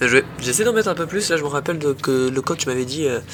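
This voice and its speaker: A man talks at a moderate pace in a fairly high pitch, with noticeable background noise around him. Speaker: amateur tennis YouTuber. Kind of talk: match commentary voice-over. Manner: animated.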